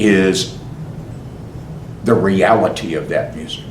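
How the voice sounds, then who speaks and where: A man's speech is heard against noticeable background noise. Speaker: actor and commercial voice-over artist. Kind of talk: interview answer.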